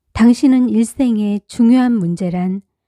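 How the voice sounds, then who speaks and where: A woman's fairly high, dark and mellow voice, calm in tone, with lively intonation at a very slow pace, in a dry, close recording with no echo. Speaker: audiobook narrator. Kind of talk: reading aloud.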